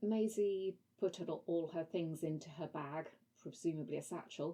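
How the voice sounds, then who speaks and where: A woman's fairly low voice has a dark, mellow tone and ordinary pitch variation. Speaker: language learning vlogger. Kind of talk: book review with reading aloud. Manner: halting when reading French.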